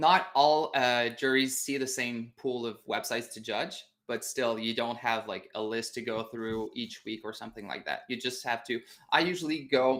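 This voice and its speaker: In a Quebec accent, a man with a medium-pitched voice speaks at a moderate pace with ordinary pitch variation, on a very clean recording with a silent background. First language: French. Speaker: web designer. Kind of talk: interview. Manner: halting.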